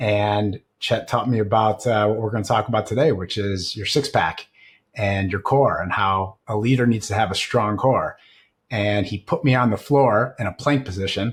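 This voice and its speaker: Speaking with ordinary pitch variation, a man has a somewhat breathy, fairly low-pitched voice. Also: moderate pace. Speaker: CEO and leadership coach. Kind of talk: podcast conversation.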